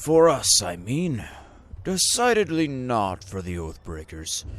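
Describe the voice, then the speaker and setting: A man's put-on character voice with very wide pitch swings. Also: medium pitch for a man, fairly slow pace. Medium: game stream. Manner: formal, old-fashioned.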